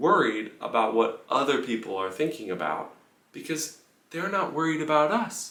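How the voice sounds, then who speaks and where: A quiet man at a fairly slow pace, amid noticeable background noise and audible room echo. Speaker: pianist. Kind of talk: casual vlog monologue. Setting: room in a house on tour. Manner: lowered voice, quiet.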